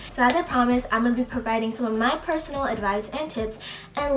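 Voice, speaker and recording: Over noticeable background noise, a woman with a high voice speaks at a fairly quick pace. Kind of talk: casual talk to camera.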